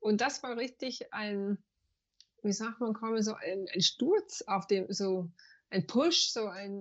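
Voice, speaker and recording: Her pitch sits fairly high, moving with ordinary variation. The woman's delivery carries a somewhat breathy quality. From USA. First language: English (speaking German). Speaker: banker, yoga teacher and spiritual coach. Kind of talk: interview. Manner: halting, searching for German words.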